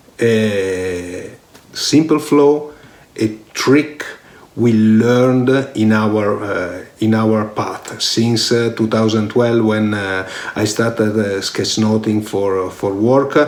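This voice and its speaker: Speaking very slowly in an Italian accent, a man with a fairly low pitch and ordinary pitch variation sounds through audible room echo. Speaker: online course instructor, IT director. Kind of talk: course introduction. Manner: halting, many fillers.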